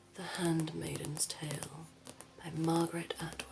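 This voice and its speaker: A soft-spoken woman whispering, with music in the background. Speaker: ASMR creator doing a librarian roleplay. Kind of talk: ASMR roleplay, librarian talking to the listener about books. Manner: whispered, soft, slow.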